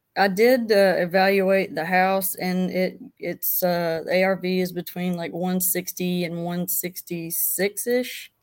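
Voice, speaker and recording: A woman talks at a very slow pace with hardly any pauses. Her medium-pitched voice keeps a fairly even intonation. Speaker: caller, beginner real estate wholesaler. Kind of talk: live Q&A call-in. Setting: video call.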